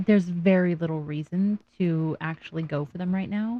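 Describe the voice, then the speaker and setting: Mumbling at a very slow pace, a woman with a fairly low pitch and a dark, mellow tone shows ordinary pitch variation in a dry, close sound with no echo. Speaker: gaming video creator. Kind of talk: let's play commentary. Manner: casual, talking to herself.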